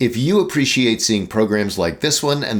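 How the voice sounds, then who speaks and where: A man talks at a fairly quick pace with very wide pitch swings. Vocal fry runs through his voice. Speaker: TV program host. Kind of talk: program introduction and fundraising appeal.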